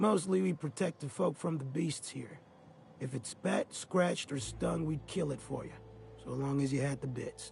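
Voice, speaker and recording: Putting on a raspy character voice, a man speaks fairly high in pitch at a moderate pace. Clear background noise can be heard. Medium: video game. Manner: rambling, folksy.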